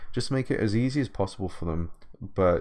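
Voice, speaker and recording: British-accented male speech with ordinary pitch variation. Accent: British, drops T's. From Britain. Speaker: video game composer. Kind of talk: livestream Q&A. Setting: livestream. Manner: halting, many repetitions and fillers.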